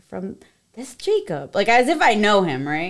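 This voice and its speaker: A woman with an American accent talks at a fairly high pitch with vocal fry, on a very clean recording with a silent background. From Connecticut, Hartford area. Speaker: esthetician. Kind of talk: casual chat.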